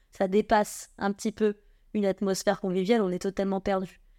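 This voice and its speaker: A woman's medium-pitched voice with a dark, mellow tone and monotone, flat intonation at a moderate pace, dry and close with no echo, on a very clean recording with a silent background. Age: 20s. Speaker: winemaker. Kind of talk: interview. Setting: office.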